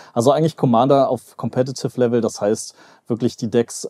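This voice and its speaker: In a quiet background, fairly even intonation marks this man's medium-pitched voice. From western Germany, Mönchengladbach; Germany. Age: 30s. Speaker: YouTuber and business analyst; YouTuber, business analyst. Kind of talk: casual chat. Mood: relaxed, conversational. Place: home room. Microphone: headset.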